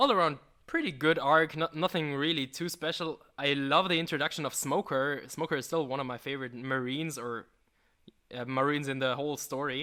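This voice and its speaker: The tone is bright and sharp. A man delivers his words at a moderate pace. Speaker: YouTuber guest. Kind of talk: casual chat. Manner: stuttering, halting.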